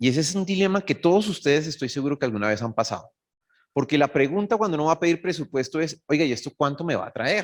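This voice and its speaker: A man speaks with a Bogotá Colombian accent at a fairly high pitch. His pace is very fast, and the recording is very clean with a silent background. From Colombia, Bogotá. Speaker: cybersecurity executive. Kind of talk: conference talk. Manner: animated.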